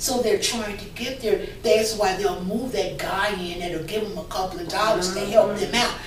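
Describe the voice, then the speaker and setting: Noticeable background noise and audible room echo fill the recording. A woman talks at a moderate pace in a medium pitch. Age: 60s. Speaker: poet and single mother sharing testimony. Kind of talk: testimony. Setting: TV talk show studio.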